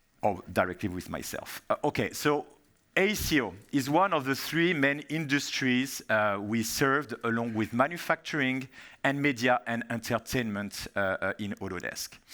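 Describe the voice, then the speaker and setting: With a French accent, a man speaks at medium pitch and a moderate pace, his tone bright and sharp and his intonation lively. The recording is very clean, with a silent background. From France. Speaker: software industry strategy manager, keynote speaker. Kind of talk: conference keynote presentation. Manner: hesitant, many fillers.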